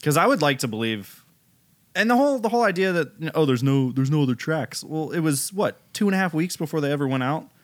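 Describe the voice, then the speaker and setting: A man's fairly high voice, very fast with lively intonation, on a very clean recording with a silent background. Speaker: podcast host. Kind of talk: casual chat. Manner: joking, does silly Russian accent.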